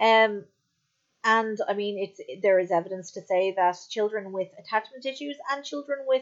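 A woman speaks at a moderate pace with ordinary pitch variation. It is a plain, everyday voice. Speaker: podcast host. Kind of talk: casual chat.

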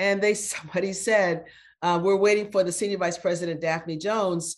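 An unremarkable speaking voice, its intonation fairly even and its pace moderate. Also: woman. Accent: American. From US Midwest, Phoenix, Illinois. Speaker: retired corporate executive and board director. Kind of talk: interview.

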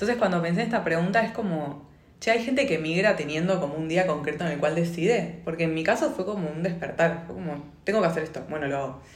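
Somewhat breathy and fairly low in pitch, a woman talks very fast with lively intonation in audible room echo. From Argentina. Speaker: podcast host, migration coach. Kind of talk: casual chat. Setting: home studio.

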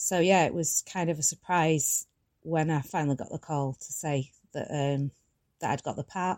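A woman's very deep, low voice in a Manchester accent at a moderate pace, dry and close with no echo, on a very clean recording with a silent background. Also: fairly even intonation. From Tameside, Greater Manchester, England. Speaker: former soap actress. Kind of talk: interview.

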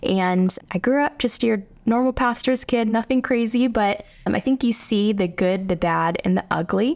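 A woman with an American accent and a plain, everyday voice, moderate in pace, with ordinary pitch variation and hardly any pauses. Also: fairly high pitch for a woman, very even loudness. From US, South Hills suburbs. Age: 20s. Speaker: pastor. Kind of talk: testimony.

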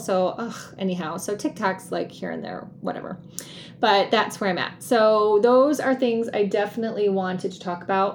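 Over noticeable background noise, a woman speaks. Her pace is moderate and her pitch medium. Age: 50s. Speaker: podcast host and life coach. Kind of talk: solo podcast monologue. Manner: casual, with laughter.

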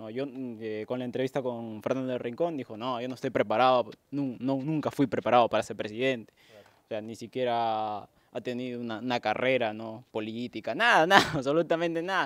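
Speaking at a fairly quick pace, a man at a medium pitch shows ordinary pitch variation and big swings in loudness. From Peru. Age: 20s. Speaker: podcast co-host. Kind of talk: casual chat. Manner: halting.

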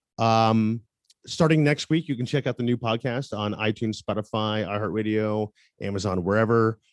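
In a normal speaking voice, a man with an American accent talks at a moderate pace and medium pitch with ordinary pitch variation, the sound dry and close with no echo. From US South, Tampa, Florida. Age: 30s. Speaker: photographer and musician. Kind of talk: interview.

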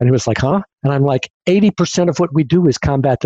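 A man speaks at a moderate pace with ordinary pitch variation. The sound is dry and close with no echo, and his voice is somewhat breathy. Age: 60s. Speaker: futurist and podcast host. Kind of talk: casual interview.

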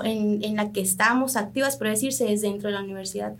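Over audible room echo, a woman speaks at a moderate pace in a somewhat breathy, fairly high-pitched voice. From Sonora, Mexico (Triqui family from Oaxaca). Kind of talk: radio interview.

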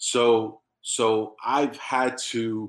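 A man with a New York accent, medium in pitch. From New York City, South Bronx. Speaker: business owner. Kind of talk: casual interview.

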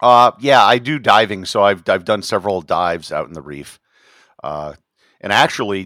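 Speaking at a moderate pace, a man with an American accent has a fairly low pitch and a bright, sharp tone. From US Midwest, Wisconsin. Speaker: travel blogger and tour operator. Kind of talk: casual interview chat.

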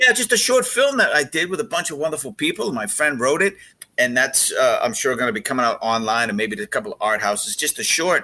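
A man with an American accent talks at a fairly quick pace in a fairly high pitch. His tone is bright and sharp, with very wide pitch swings and vocal fry. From Boston (South Boston). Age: 50s. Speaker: TV travel host and actor. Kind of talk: casual interview.

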